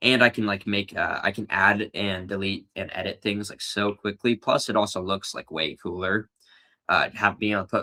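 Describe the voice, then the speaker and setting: A bright, sharp voice at a moderate pace with fairly even intonation comes through dry and close with no echo, on a very clean recording with a silent background. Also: man. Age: 20s. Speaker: streamer. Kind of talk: casual chat. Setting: live stream. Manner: casual with many fillers.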